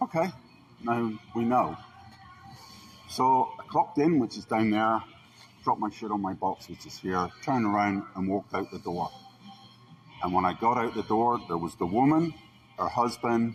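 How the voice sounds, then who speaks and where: Music plays in the background as a man speaks at a moderate pace, with long, frequent pauses. His voice sits at a medium pitch with ordinary variation. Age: 60s. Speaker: complainant reporting an assault. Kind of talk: statement to police.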